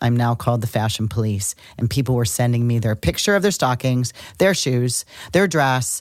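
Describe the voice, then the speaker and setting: Very deep and low in pitch, a woman speaks at a moderate pace with lively intonation and very even loudness. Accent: American. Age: 60s. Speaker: astrologer, podcast co-host. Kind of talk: casual chat.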